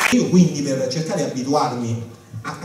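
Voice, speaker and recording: A man at a fairly quick pace with lively intonation, amid audible room echo and noticeable background noise. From Rome, Italy. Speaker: stand-up comedian. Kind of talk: stand-up comedy. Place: stage.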